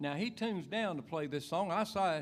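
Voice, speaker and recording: In a North Carolina accent, a man speaks at a fairly quick pace with a high pitch and lively intonation. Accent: Southern US (North Carolina). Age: 70s. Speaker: banjo player. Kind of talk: stage banter. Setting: stage with audience.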